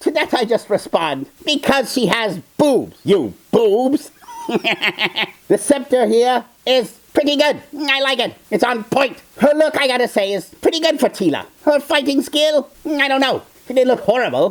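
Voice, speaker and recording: At a moderate pace, the speaker uses a high, put-on character voice. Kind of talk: character reaction video commentary. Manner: sarcastic, mocking.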